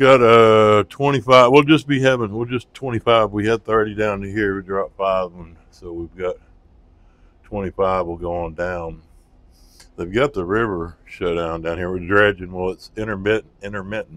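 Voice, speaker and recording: Big swings in loudness mark this man's fairly low voice as he speaks at a moderate pace with ordinary pitch variation. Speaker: towboat crew member vlogging on the river. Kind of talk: casual vlog narration. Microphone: new mic being tested, levels blowing.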